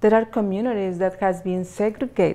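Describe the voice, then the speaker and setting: A woman's medium-pitched voice, dark and mellow in tone, with a Mexican accent. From Mexico, southern Jalisco. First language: Spanish. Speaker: clothing retailer, business owner. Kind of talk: interview. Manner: halting.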